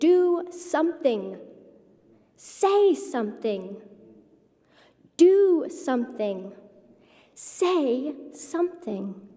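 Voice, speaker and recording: Using a put-on character voice, a woman speaks high and shaky at a very slow pace, with very wide pitch swings and long, frequent pauses. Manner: anxious, fretting, urgent.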